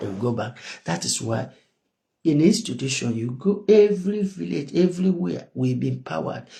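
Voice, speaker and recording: A man speaks at medium pitch and a moderate pace, in a dark, mellow, somewhat breathy tone. His pitch swings very widely. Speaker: activist. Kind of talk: political monologue.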